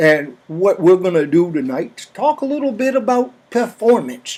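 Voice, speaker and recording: A man with a Maine accent and high pitch speaks at a fairly slow pace with very wide pitch swings. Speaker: storyteller, comedian. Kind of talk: comedic storytelling to an audience, tall tale. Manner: folksy, chatty, humorous.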